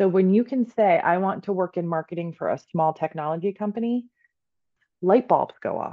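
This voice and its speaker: This woman has a normal speaking voice at medium pitch. She talks at a moderate pace with ordinary pitch variation. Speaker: Reiki master and career coach. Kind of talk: casual interview chat.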